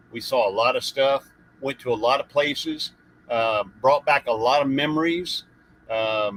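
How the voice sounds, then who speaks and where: Speaking with a Southern US accent at a moderate pace, a man sounds dry and close with no echo. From US South. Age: 60s. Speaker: retired Navy RVer and YouTuber. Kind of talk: live stream chat.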